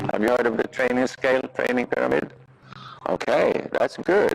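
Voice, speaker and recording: A man talks at a moderate pace, and noticeable background noise is present. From Sweden. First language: Swedish. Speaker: riding instructor. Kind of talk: clinic lesson teaching. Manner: halting, many fillers.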